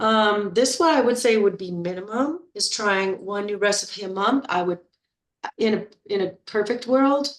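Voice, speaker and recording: A woman speaks at a moderate pace in a normal speaking voice. Her pitch is medium, with ordinary variation. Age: 60s. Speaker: health and weight-loss coach. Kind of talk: group coaching talk. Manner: casual, with frequent fillers and repetitions.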